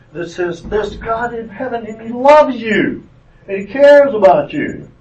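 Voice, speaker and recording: Moderate pace from a man with a Southern US accent. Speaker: retired doctor giving mission trip talk. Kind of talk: church talk. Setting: church classroom with audience.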